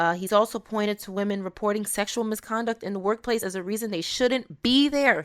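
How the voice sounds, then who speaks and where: In a normal speaking voice, a woman talks at a fairly quick pace with fairly high pitch and hardly any pauses. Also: ordinary pitch variation. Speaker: podcast host. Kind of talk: casual commentary podcast. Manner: reading aloud with commentary.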